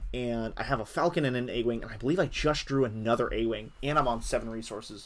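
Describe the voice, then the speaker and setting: On a very clean recording with a silent background, a man with a medium-pitched voice talks at a very fast pace with ordinary pitch variation. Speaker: card game player and commentator. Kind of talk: gameplay commentary. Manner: hesitant, many fillers.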